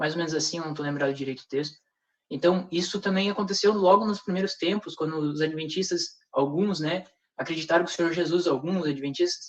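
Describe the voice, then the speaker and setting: A man speaks at a fairly quick pace. His pitch is high, and his intonation stays fairly even. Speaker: religious speaker in panel discussion. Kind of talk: religious discussion with rebuttal. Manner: fast; hesitant, with many fillers.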